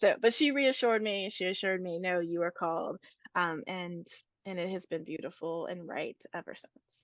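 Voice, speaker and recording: A woman with a normal speaking voice and an American accent, medium in pitch, with ordinary pitch variation and big swings in loudness, at a moderate pace, in a dry, close sound with no echo against a quiet background. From rural Appalachia, USA. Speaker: priest and state senator. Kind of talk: interview answer.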